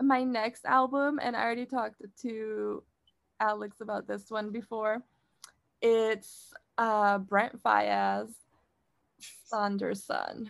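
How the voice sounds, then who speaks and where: With an American accent, a woman speaks at a very slow pace in a fairly high, monotone, flat delivery. Long, frequent pauses break up her words. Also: very clean recording, silent background. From Mexico and California (Stockton). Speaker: podcast co-host. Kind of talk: casual chat.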